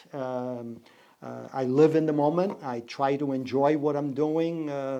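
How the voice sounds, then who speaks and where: In a Portuguese accent, a man speaks at a fairly slow pace with a fairly high pitch and fairly even intonation. His loudness swings widely, and room echo is audible. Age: 60s. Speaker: business owner. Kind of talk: podcast interview. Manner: hesitant, many fillers.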